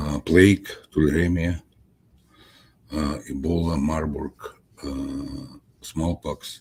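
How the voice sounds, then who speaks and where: A man speaks very slowly with vocal fry in a very deep, low pitch and ordinary pitch variation. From Soviet Union. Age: 70s. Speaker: scientist, author. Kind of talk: interview. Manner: halting, many fillers.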